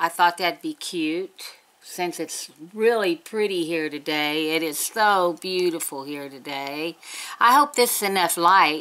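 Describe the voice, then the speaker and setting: A woman's bright, sharp tone in an Appalachian accent, with ordinary pitch variation. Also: fairly low pitch for a woman, fairly slow pace. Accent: Appalachian Southern US. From West Virginia, US. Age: 60s. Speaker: beauty vlogger. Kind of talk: casual chat. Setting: home. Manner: chatty. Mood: chatty, upbeat. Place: home room. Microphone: webcam.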